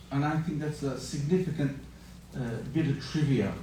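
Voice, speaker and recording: Audible room echo surrounds a man speaking in an Australian accent. His fairly high-pitched voice has a dark, mellow tone. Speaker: interfaith moderator. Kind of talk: panel moderation.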